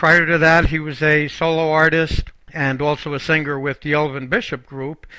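A man with an American accent speaks at a moderate pace in a fairly high pitch. His tone is bright and sharp against a quiet background. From Boston. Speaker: talk show host and moderator. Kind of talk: casual panel discussion. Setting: studio. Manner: enthusiastic.

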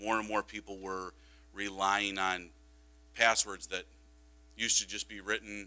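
A man's very deep, low voice with vocal fry, a bright, sharp tone, ordinary pitch variation and a moderate pace. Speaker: school district technology director. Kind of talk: board presentation. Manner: casual with frequent fillers.

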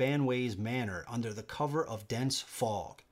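The voice reads in a natural way.

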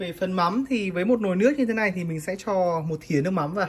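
Fast speech with ordinary pitch variation

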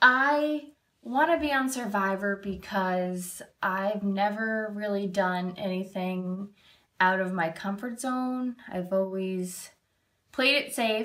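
A woman with an American accent speaks at a very slow pace in a bright, sharp tone with ordinary pitch variation. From Massachusetts. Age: 30s. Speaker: reality show applicant. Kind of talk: audition video. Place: kitchen. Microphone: phone near.

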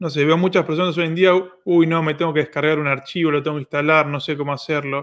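A man with a Rioplatense accent, fairly high in pitch, at a very fast pace against a quiet background. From Argentina. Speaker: online course platform host. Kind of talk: live Q&A stream. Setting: livestream. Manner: animated. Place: home room.

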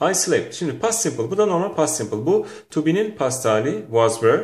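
A man's fairly high voice with vocal fry, very wide pitch swings and a moderate pace, plus audible room echo. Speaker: English teacher. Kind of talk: lecture. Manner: animated.

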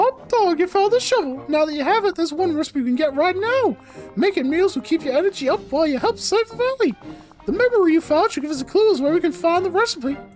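Over clear background music, a man rattles off lines at a very fast pace in a put-on character voice. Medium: game stream. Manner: chipper, exclamatory.

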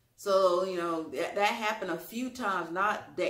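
A woman with a Louisiana accent speaks at a moderate pace and medium pitch, with audible room echo. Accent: Southern US, Louisiana. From US South, Louisiana. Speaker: YouTube vlogger. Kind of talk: storytelling, personal story time to camera. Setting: home video, solo to camera. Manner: conversational, chatty. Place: home room. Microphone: camera far.

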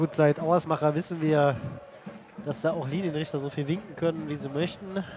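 A man speaks at a moderate pace with a fairly high pitch. The sound is dry with no echo, though noticeable background noise is present. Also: fairly even intonation. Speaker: football commentator. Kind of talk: live sports commentary. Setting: stadium. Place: stadium.

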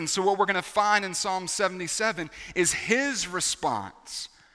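Against a quiet background, a man speaks in a raised, projected voice with fairly even intonation. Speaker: pastor. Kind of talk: sermon. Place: church. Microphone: headset.

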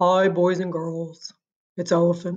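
The speaker uses a put-on character voice at a middle pitch. The delivery is monotone and flat, at a fairly slow pace.

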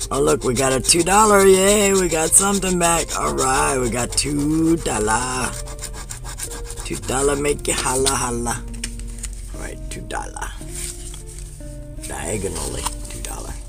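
Over clear background music, a man speaks at a fairly slow pace with long, frequent pauses. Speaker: scratch-ticket vlogger. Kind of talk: casual commentary while scratching. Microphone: phone near.

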